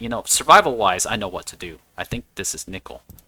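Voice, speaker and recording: Speaking with a non-native accent, a man has a bright, sharp tone that is also relaxed. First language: not English. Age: 40s. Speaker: gaming video creator. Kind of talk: casual gameplay commentary. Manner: relaxed, with frequent restarts and repeated words.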